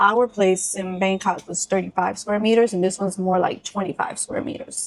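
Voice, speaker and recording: This is a woman with an ordinary speaking voice. Her pitch sits in the medium range and varies in an ordinary way. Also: moderate pace. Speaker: travel vlogger. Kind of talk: casual chat.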